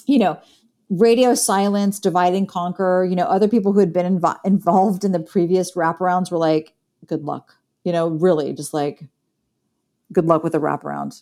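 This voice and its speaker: The recording is very clean, with a silent background. A woman with a dark, mellow tone speaks at a medium pitch, leaving long, frequent pauses. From Columbus, Ohio, US Midwest. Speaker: film director and university professor. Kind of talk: interview. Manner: halting, many fillers.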